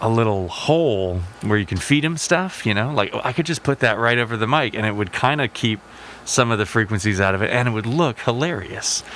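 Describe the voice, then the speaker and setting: A man with an unremarkable speaking voice talks at a fairly quick pace, his medium pitch carrying lively intonation. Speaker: electronic music performer. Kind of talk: casual chat.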